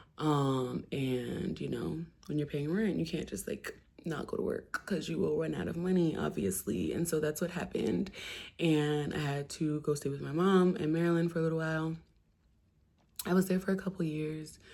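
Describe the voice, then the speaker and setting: A woman speaks at a moderate pace with an American accent. The recording is very clean, with a silent background. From New Jersey. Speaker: poet and musician, vlogger. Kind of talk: casual chat.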